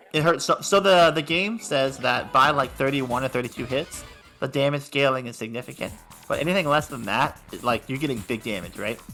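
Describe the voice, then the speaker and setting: A man's fairly high voice at a fairly quick pace with ordinary pitch variation, music in the background. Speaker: fighting game commentator. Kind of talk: esports commentary. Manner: excited, upbeat.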